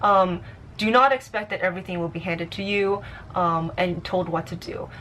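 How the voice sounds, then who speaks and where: Her voice is bright and sharp, a woman speaking at a medium pitch. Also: ordinary pitch variation. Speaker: vlogger, amateur model. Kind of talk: advice vlog. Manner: fast; casual, halting with fillers.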